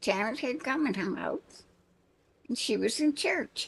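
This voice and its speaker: A woman speaks at a very slow pace in a somewhat breathy voice. Her pitch swings very widely. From New Orleans. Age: 80s+. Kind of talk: interview answer. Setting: outdoors.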